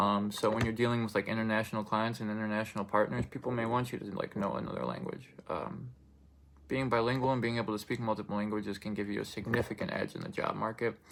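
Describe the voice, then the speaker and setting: A man with a Russian accent talks at a very fast pace, his pitch fairly low with ordinary variation. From Russian-speaking family, then raised in the United States. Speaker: student speaker. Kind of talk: informative speech. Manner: hesitant, many fillers.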